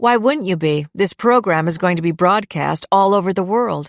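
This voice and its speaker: A female-sounding voice does a put-on character voice at a moderate pace, with a medium pitch for a woman. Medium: read story. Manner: cheerful.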